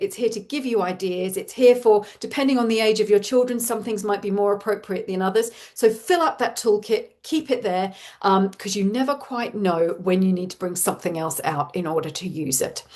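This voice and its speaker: Speaking fairly quickly with hardly any pauses, a woman in an Australian accent uses lively intonation at a fairly high pitch. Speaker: parenting coach. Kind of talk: live webinar talk. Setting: online webinar with chat.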